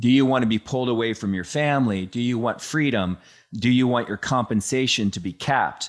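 On a very clean recording with a silent background, a man speaks in a normal speaking voice. His pace is fairly quick, with ordinary pitch variation. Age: 50s. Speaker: podcast host. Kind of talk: casual interview chat.

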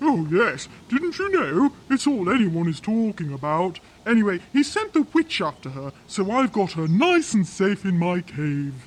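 The speaker puts on a character voice at a moderate pace. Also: man, high pitch for a man. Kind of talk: comic fairytale acting. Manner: cheerful, chatty, hesitant.

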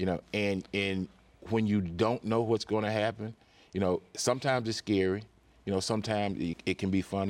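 With a Mississippi accent, a man speaks at a fairly low pitch and a fairly quick pace. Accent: Southern US (Mississippi). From Mississippi Delta, US. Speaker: higher education executive. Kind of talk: interview conversation.

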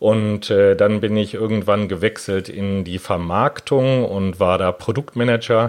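A man speaks in an unremarkable speaking voice, fairly low in pitch with fairly even intonation. His pace is fairly slow with hardly any pauses, over a quiet background. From Germany, Hanover. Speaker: patent attorney. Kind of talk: interview.

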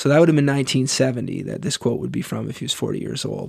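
Recorded very cleanly against a silent background, a man with a normal speaking voice and a fairly high pitch talks with ordinary pitch variation. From Canada. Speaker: podcast host. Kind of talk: casual chat.

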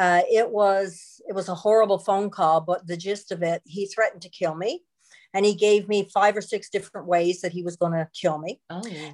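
With a Newfoundland accent, a woman speaks at a moderate pace in a medium pitch and fairly even intonation. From Newfoundland and Labrador, Canada. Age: 60s. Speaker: author and former counselor. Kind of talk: interview testimony.

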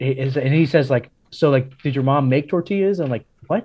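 An unremarkable speaking voice talks at a moderate pace with an American accent. Its pitch varies in an ordinary way. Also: man. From Miami, Florida (Cuban American). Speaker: pastor. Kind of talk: interview.

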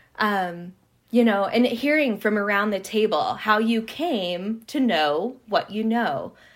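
A woman speaks at a fairly slow pace in a plain, everyday voice with a fairly high pitch. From Montana, US. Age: 30s. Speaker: artist and historian, PhD student. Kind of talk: interview conversation.

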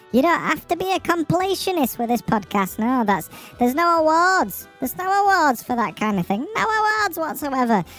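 A high, put-on character voice with very wide pitch swings plays over faint music in the background. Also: moderate pace.

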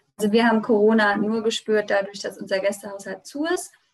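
A woman's normal speaking voice, fairly high in pitch, with fairly even intonation. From Germany, Rheinhessen. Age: 20s. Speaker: winemaker and regional wine queen. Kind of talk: interview.

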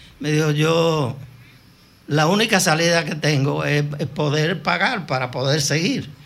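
A man talks at a fairly slow pace with a fairly high pitch. Audible room echo is present. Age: 80s+. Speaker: veteran broadcaster. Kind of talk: interview storytelling.

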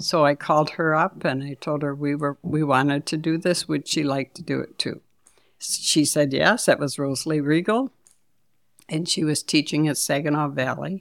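The recording is dry and close with no echo. A woman with an American accent speaks in a very deep, low voice with fairly even intonation. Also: moderate pace. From Detroit, Michigan. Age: 70s. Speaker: shelter co-founder. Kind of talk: casual interview.

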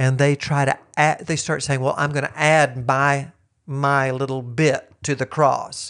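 A man's fairly high voice at a fairly slow pace, monotone and flat, against a quiet background. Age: 60s. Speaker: teacher and former missionary. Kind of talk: casual chat.

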